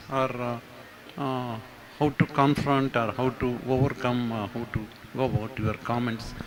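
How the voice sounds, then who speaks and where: Clearly audible background noise accompanies a man talking at a fairly slow rate. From India, Bangalore. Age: 60s. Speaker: audience member. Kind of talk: audience question.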